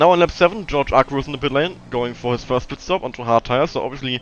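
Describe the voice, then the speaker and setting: Someone with a non-native accent speaks very fast with lively intonation. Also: man. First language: not English. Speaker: sim racing driver. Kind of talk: live commentary. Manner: halting.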